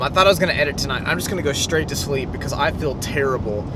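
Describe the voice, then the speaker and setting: With ordinary pitch variation, the voice comes through audible room echo and noticeable background noise. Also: man. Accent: American. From Texas, Waco. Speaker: vlogger. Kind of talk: vlog monologue. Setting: outdoors in front of a mural.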